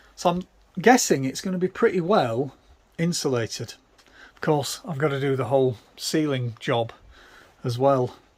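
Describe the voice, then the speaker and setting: A somewhat breathy man with an English accent, a fairly high pitch and lively intonation, at a moderate pace with big swings in loudness and long, frequent pauses. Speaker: DIY van converter, video maker. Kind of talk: tutorial. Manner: casual, hesitant fillers.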